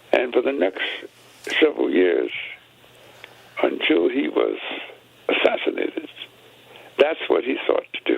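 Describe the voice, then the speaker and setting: Speaking at a moderate pace, a man is heard amid noticeable background noise. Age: 80s+. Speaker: civil rights veteran and author. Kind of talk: radio interview. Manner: halting, many fillers and repetitions.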